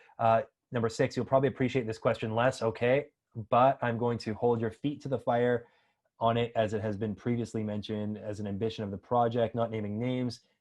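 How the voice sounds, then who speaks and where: Against a quiet background, a man delivers monotone, flat intonation at medium pitch and a fairly quick pace. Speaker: crypto project team member hosting AMA. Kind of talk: live AMA voice chat. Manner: fast.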